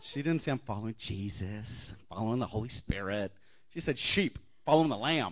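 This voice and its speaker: This voice moves at a fairly quick pace with lively intonation against a quiet background. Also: man, medium pitch for a man. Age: 40s. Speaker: guest preacher. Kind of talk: sermon. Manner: animated.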